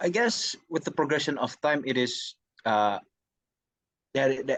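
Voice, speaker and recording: A speaker with an Indonesian accent talks at a moderate pace. The background is quiet. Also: man. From Indonesia, Jakarta. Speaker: university student. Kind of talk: interview. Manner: halting.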